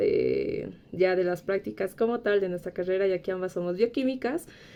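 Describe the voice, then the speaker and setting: A woman with a plain, everyday voice talks at a fairly slow pace, her medium pitch moving with ordinary variation. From Bolivia. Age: 20s. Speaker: biochemistry graduate. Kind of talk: casual interview chat.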